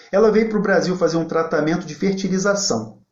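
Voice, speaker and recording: Talking very fast at a high pitch, a man is heard with audible room echo. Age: 40s. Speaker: federal public defender. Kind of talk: live online talk. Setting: livestream. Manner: informal.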